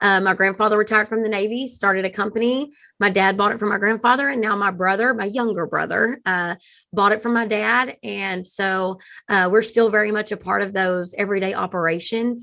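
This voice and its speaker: Against a quiet background, a woman with a Texan accent and medium pitch talks at a fairly quick pace in a bright, sharp tone with fairly even intonation. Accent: Texan Southern. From East Texas, US South. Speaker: marketing agency founder. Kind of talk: interview podcast.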